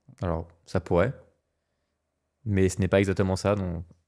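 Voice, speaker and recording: The recording is very clean with a silent background as a man with a very deep, low pitch speaks at a moderate pace. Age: 30s. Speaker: podcast co-host, works in law. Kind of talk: casual podcast conversation. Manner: hesitant, many fillers.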